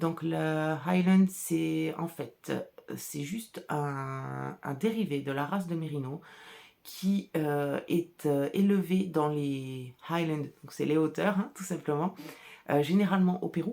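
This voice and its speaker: A woman speaks in a very deep, low pitch with a dark, mellow tone. Her pace is very slow and her pitch varies in an ordinary way. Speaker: artisan wool dyer and podcaster. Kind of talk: casual solo podcast chat. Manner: chatty, hesitant with fillers.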